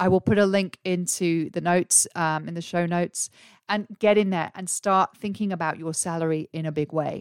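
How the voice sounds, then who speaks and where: A woman with an English accent speaks at a fairly quick pace and a fairly low pitch. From England. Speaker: career coach and podcast host. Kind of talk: solo podcast monologue. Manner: animated.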